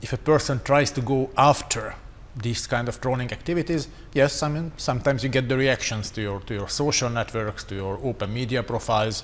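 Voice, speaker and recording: With a Hungarian accent, a man talks at a fairly quick pace and a medium pitch, with ordinary pitch variation. Noticeable background noise runs underneath. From Hungary. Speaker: strategic communication expert. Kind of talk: panel discussion.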